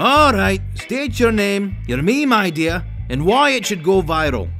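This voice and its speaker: Faint music plays in the background as a man in a put-on character voice talks at a fairly slow pace and a high pitch. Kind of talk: comedic parody dialogue.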